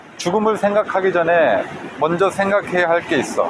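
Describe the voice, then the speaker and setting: Speaking at a fairly slow pace in a calm tone, a man is heard over noticeable background noise. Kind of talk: guided reading meditation, book reading while walking by the sea. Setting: outdoors by the sea with waves. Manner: calm, slow, reflective.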